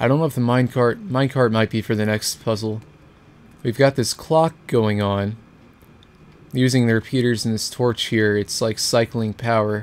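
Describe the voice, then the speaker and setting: This man has an unremarkable speaking voice, keeping a moderate pace and fairly even intonation. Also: medium pitch for a man. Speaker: gaming video creator. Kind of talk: let's play commentary.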